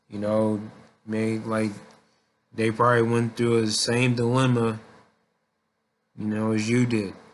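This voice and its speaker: Monotone, flat intonation from a man, with long, frequent pauses and audible room echo. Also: medium pitch for a man. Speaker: vlogger. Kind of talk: casual monologue. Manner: halting.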